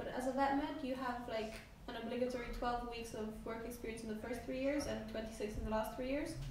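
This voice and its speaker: With room echo audible and light background noise, a woman speaks very fast in a high pitch. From Poland. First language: Polish. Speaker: veterinary medicine student. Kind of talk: casual chat. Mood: relaxed, enthusiastic. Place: home room.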